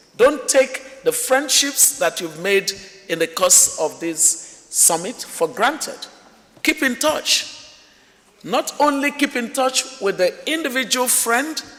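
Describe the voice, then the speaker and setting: Amid noticeable background noise, a man speaks very slowly in an extremely high pitch with very wide pitch swings. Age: 60s. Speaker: summit moderator. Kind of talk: closing remarks at a summit. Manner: animated.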